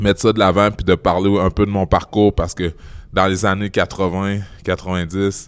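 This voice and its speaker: In a Quebec accent, a man speaks with monotone, flat intonation and a very deep, low pitch. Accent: Québécois. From Quebec City, Canada. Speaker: guest speaker on bullying and racism. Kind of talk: interview. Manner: halting, many repeated words.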